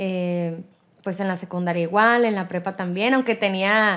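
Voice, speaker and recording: Here is a woman with an unremarkable speaking voice. She goes at a fairly slow pace with ordinary pitch variation. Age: 20s. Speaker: radio host. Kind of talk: interview.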